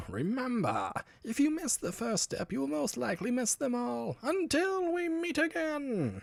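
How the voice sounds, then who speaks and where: Using a put-on character voice, a man speaks at a moderate pace with an extremely high, raspy, nasal pitch. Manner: villainous.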